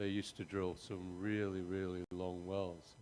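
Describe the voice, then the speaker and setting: The pace is fairly slow. A man talks with a very deep, low pitch. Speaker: audience member. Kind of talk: audience question. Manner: loud.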